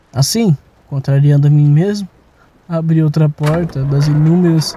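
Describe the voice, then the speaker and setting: A man with a fairly high pitch speaks at a moderate pace, somewhat breathy, with a dark, mellow tone. He sounds nervous, and the sound is dry and close with no echo. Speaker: audio drama narrator. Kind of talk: dramatic horror narration, first-person confessional tale with sound design. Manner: halting and shaky, with nervous laughter and repeated phrases.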